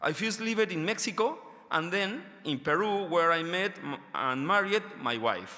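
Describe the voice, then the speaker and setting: A man with a non-native accent talks at a moderate pace. His voice is high in pitch, with lively intonation. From Argentina. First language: Spanish. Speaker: education researcher. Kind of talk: conference lecture. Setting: stage with audience. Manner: halting, many fillers; reading from paper.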